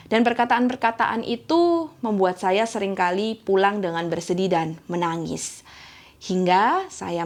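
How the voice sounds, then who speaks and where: In a strong East Javanese accent, a woman speaks at a medium pitch and moderate pace with lively intonation. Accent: thick East Javanese. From East Java, Indonesia (Gresik). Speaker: church elder. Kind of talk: sermon.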